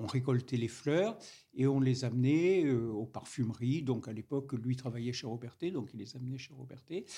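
A man with a southern French accent speaks at a moderate pace in a medium pitch, his dark, mellow, somewhat breathy voice showing ordinary pitch variation and big swings in loudness. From Grasse, southern France. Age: old. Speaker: master perfumer. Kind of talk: interview. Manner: halting, hesitant.

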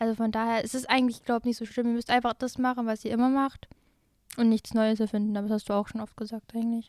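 A woman's fairly high, monotone, flat voice at a very fast pace, dry and close with no echo. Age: young. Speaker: former driving student. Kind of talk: casual chat.

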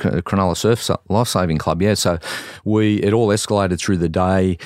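Speaking at a fairly quick pace, a man has an Australian accent and fairly even intonation. The recording is very clean, with a silent background. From Sydney, Australia. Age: 60s. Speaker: former police officer and triathlete. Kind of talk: casual interview. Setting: studio.

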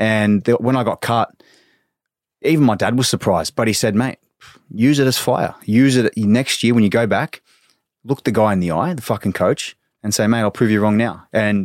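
A man talks with an Australian accent. The sound is dry and close, without any echo. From Australia, Victoria (Sunbury). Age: 20s. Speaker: professional soccer player. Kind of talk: casual interview chat.

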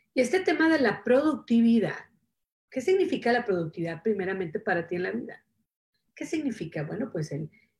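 A woman's somewhat breathy voice with lively intonation. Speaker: self-help show host. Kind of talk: casual motivational talk on live stream. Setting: Facebook Live stream.

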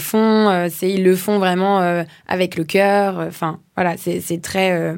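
Very slow speech from a woman, medium in pitch and fairly even in intonation. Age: 30s. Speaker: social entrepreneur. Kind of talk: interview.

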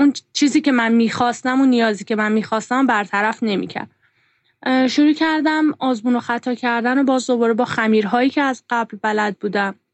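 Fairly quick speech from a woman, high in pitch, with ordinary pitch variation. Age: 30s. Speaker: art teacher. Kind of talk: casual interview.

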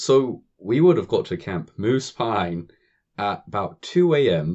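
At a fairly slow pace, a man speaks at a medium pitch with very wide pitch swings. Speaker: former summer camp counselor. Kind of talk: casual chat. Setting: video call.

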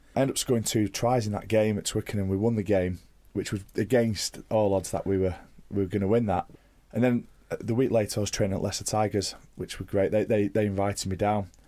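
In a very clean recording with a silent background, a man with a Mancunian accent speaks very fast in a flat monotone, his fairly low voice dark and mellow. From Manchester, England. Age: 30s. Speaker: professional rugby player. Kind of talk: casual interview. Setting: studio.

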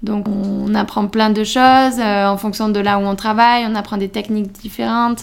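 At a fairly slow pace, a woman speaks with fairly even intonation. Her voice is medium in pitch. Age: 20s. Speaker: culinary student. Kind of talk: interview. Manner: hesitant, many fillers.

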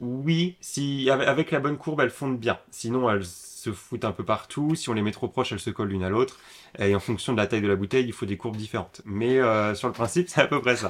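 A man speaks at medium pitch and a fairly quick pace in an ordinary speaking voice. The recording is very clean, with a silent background. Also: ordinary pitch variation. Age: 20s. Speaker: young entrepreneur, upcycling craftsman. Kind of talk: casual interview.

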